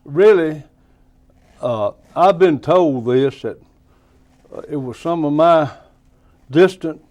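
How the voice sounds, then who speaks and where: A man speaks at a very slow pace with a Tennessee accent. His pitch varies in an ordinary way. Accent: Southern US (Tennessee). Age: 80s+. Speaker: plumbing and electrical business owner. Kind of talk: interview, reminiscing.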